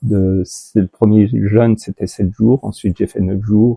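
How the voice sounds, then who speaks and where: Against a quiet background, a man speaks very slowly in a fairly low pitch with a dark, mellow tone. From France. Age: 70s. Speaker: patient, shiatsu practitioner. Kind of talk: testimony interview. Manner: halting, many hesitations.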